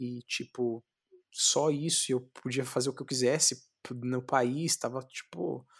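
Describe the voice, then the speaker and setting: Speaking at a fairly slow pace, a man with a medium-pitched voice is heard in a very clean recording with a silent background and a dry, close sound with no echo. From São Paulo, Capão Redondo (periphery). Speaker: jiu-jitsu champion. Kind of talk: interview. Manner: animated.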